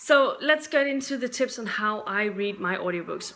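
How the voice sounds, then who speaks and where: A woman's voice with a non-native accent and ordinary pitch variation. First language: not English. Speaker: book YouTuber. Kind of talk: casual vlog talk. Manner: halting, unscripted.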